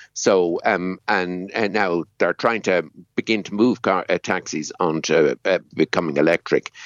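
A man's very deep, low voice with fairly even intonation and hardly any pauses. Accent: Dublin. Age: 70s. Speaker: economist and former climate council chair. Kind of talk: radio interview discussion. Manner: hesitant, filler-heavy.

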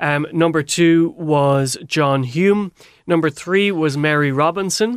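With an Irish accent, a man talks at a very slow pace, his loudness very even and his pitch varying in an ordinary way. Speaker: radio host. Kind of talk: radio panel discussion. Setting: studio.

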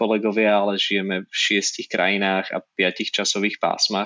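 Flat and monotone, a man's fairly low voice moves along at a moderate pace. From Slovakia, Nitra. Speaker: magazine publisher. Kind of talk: interview.

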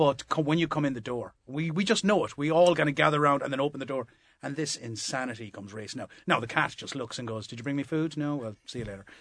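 Very fast and with hardly any pauses, a man speaks in a Limerick accent at a fairly high pitch. His pitch variation is ordinary, but his loudness swings a lot. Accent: Limerick Irish. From Limerick, Ireland. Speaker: comedian. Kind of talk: casual panel chat. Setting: studio.

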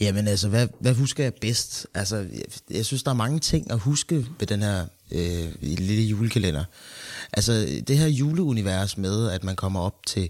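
The background is silent on this very clean recording, and the speaker's intonation is lively. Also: man, fairly low pitch for a man, fairly slow pace. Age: 20s. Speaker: actor and co-host. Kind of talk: casual chat. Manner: halting.

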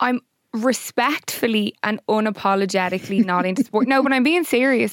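A woman with an Irish accent talks at a moderate pace in a fairly high pitch with ordinary pitch variation, in a dry, close sound with no echo. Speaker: podcast co-host. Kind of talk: casual chat.

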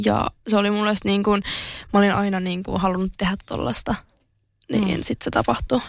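A woman speaks at a medium pitch with ordinary pitch variation and a moderate pace. Her speech has long, frequent pauses. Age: 20s. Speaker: social media influencer and entrepreneur. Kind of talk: interview.

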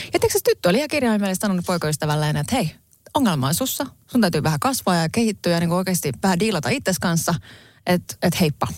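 Very clean and set against a silent background, this recording has a woman talking very fast. Her fairly low voice swings very widely in pitch. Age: 40s. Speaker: podcast co-host. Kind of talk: casual chat.

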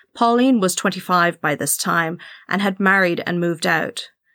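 A woman at medium pitch with a bright, sharp tone, a moderate pace, and a very clean recording over a silent background. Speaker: true crime podcast host. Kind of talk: scripted narration.

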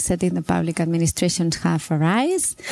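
A woman talks at a fairly low pitch. Noticeable background noise is present. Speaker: urban planner. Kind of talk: interview.

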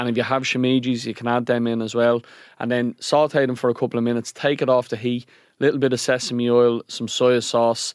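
A man with a Dublin accent, medium-pitched and monotone with flat intonation, at a fairly quick pace, in a dry, close sound with no echo and a very clean recording with a silent background. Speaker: podcast co-host. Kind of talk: casual chat.

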